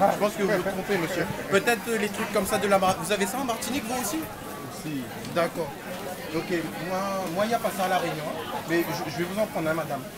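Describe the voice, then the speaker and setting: A man speaks at a fairly quick pace, with long, frequent pauses. Loud background noise runs behind him. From Réunion. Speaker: travel vlogger. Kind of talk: casual vlog, walking tour. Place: market. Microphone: phone near.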